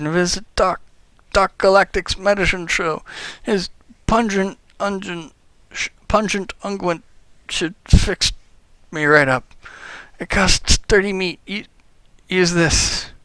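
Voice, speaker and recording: Using a put-on, whiny character voice pitched high, a man talks at a fairly slow pace with long, frequent pauses. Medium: game stream. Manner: whiny, halting.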